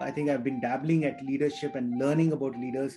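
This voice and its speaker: A man's voice over faint background music. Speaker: podcast guest. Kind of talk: interview answer. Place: home room. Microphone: video call.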